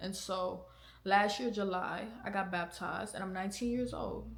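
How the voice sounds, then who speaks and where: There is audible room echo as a woman speaks at a moderate pace, her medium pitch showing ordinary variation. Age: 20s. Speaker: podcast host. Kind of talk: casual chat; testimony. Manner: casual, conversational.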